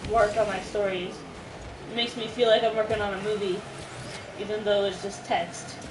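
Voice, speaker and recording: A woman talks at a medium pitch in a monotone, flat intonation. Noticeable background noise and audible room echo fill the recording. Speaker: gamer streamer. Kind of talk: casual chat during gameplay. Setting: livestream while gaming. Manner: loud, projected.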